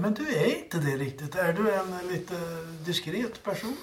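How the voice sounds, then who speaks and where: A high-pitched man talks at a fairly slow pace with lively intonation, and room echo is audible. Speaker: podcast co-host. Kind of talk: casual chat.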